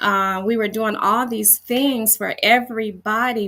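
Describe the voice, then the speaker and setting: Bright and sharp in tone, a woman speaks with fairly even intonation. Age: 60s. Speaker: fitness coach. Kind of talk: casual chat. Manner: halting, many fillers.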